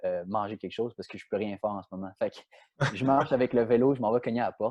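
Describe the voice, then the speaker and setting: Very fast speech from a man with a Quebec accent, medium pitch, and ordinary pitch variation. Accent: Quebec French accent, noticed in France. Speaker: professional soccer player. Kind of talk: podcast interview, storytelling. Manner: many repetitions and hesitations.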